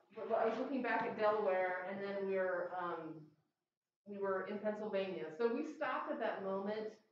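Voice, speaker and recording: A woman speaks with ordinary pitch variation. There's light background noise and audible room echo. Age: 50s. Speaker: presenter. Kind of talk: slide show presentation. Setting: stage with audience. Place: hall. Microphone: camera far.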